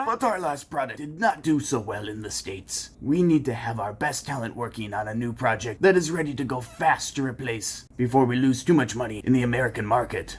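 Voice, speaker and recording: A man performs a cartoonish character voice, speaking with hardly any pauses. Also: medium pitch for a man, fairly quick pace. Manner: stern, hesitant.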